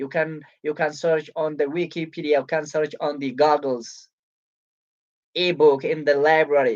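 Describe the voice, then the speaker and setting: Speaking with an Ethiopian accent, the voice keeps a fairly slow pace. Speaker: book reviewer. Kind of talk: live stream presentation. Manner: halting.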